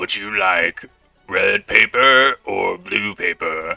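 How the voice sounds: Faint music plays behind a man doing a raspy put-on character voice. He speaks at a very slow pace.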